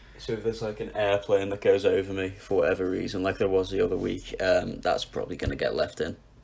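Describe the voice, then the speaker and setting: Someone talks very fast with a northern English accent, hardly pausing at all. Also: man. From northwest England. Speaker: music podcast co-host. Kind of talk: casual chat.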